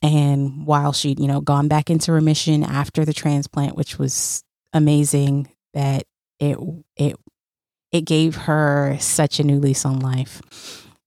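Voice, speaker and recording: With a dark, mellow tone, a woman speaks in a very deep, low pitch and a monotone, flat intonation. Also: fairly slow pace. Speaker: podcast host. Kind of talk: solo podcast monologue.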